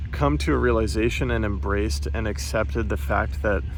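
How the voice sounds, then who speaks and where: Music plays in the background as the speaker goes along at a moderate pace. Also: man. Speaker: podcaster. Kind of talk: casual podcast talk recorded outdoors. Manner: rambling, hesitant.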